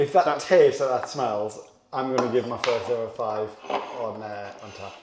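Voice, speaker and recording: Noticeable background noise beneath a moderate pace and ordinary pitch variation. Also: man. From Sunderland, northeast England. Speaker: beer reviewer. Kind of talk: casual chat.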